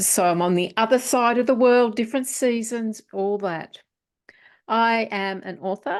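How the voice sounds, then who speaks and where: Over a quiet background, a woman with an Australian accent talks at a fairly slow pace with ordinary pitch variation. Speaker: author and publisher. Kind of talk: interview.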